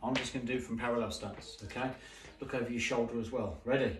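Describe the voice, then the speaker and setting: Noticeable background noise surrounds a man who speaks at a fairly quick pace. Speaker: taekwondo instructor. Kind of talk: online class instruction, counting drills. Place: home room. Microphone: camera far.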